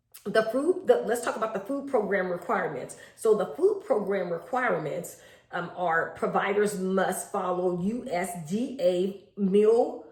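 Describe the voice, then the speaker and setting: With audible room echo, a woman of medium pitch speaks fairly slowly, with ordinary pitch variation. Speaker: home daycare provider. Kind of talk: tutorial.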